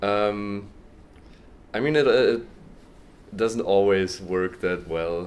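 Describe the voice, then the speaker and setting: A man with a German accent talks at a very slow pace, leaving long, frequent pauses. His pitch is fairly low with ordinary variation, and audible room echo surrounds him. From Germany. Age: 20s. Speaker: university student. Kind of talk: interview. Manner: hesitant, many ums and repetitions.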